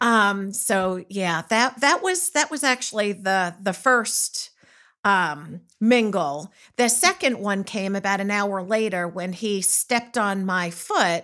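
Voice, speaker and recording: In a very clean recording with a silent background, a woman at medium pitch speaks very slowly in a bright, sharp tone with ordinary pitch variation. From Long Island, New York, US. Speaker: nurse and mother. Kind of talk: personal storytelling in interview.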